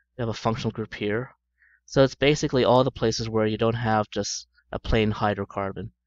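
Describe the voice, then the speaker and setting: A man speaks at a fairly quick pace in a normal speaking voice, with medium pitch. His intonation stays fairly even against a quiet background. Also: dry, close sound with no echo. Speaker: chemistry teacher. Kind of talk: lecture.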